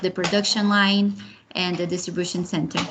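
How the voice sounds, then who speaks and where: A woman talks with a Brazilian accent. Her intonation is monotone and flat. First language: Portuguese. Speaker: project manager, program alumna. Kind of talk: online panel interview.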